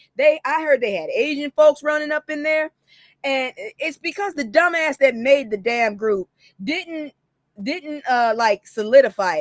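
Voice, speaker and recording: The animated tone carries very wide pitch swings at a moderate pace. The sound is dry and close, with no echo. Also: woman. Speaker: news commentary host. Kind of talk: casual commentary rant. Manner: stutters often.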